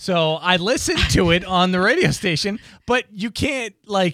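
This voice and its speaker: A man projects his voice loudly in a bright, sharp tone and a high pitch, with an American accent. The recording is very clean, with a silent background. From Boston. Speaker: radio co-host. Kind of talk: casual chat. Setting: studio.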